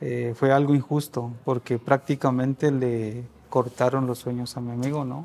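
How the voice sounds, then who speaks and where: Delivery comes at a fairly slow pace in a monotone, flat intonation. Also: man, medium pitch for a man. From Guatemala. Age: 30s. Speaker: refugee. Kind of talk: testimony.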